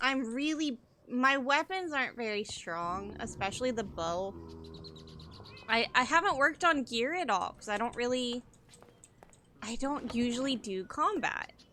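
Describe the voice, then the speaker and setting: A loud woman speaks at a fairly slow pace in a high pitch, her tone bright and sharp, her intonation lively, with long, frequent pauses. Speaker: gaming streamer. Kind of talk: live gameplay commentary.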